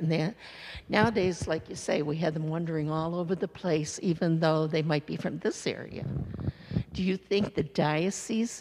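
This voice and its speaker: A woman speaks with a fairly low pitch, ordinary pitch variation and a moderate pace. Light background noise sits behind her. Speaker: parishioner. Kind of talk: comment at parish meeting. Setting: church. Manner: halting. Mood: earnest, concerned. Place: church.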